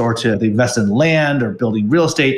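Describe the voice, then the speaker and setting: A man talks in an ordinary speaking voice. His pace is moderate, with ordinary pitch variation. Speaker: tech company CEO. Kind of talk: casual interview conversation.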